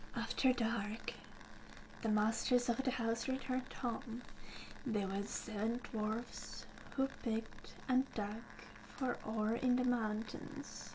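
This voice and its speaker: Soft-spoken and calm in tone, a woman with a fairly high pitch speaks at a very slow pace in a monotone, flat intonation over noticeable background noise. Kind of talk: ASMR bedtime story reading. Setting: fire crackling in the background. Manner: soft-spoken, calm.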